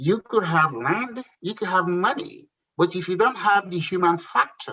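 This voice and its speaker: With a Nigerian accent, a man speaks at a moderate pace in a high-pitched voice. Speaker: entrepreneur. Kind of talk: interview. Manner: halting.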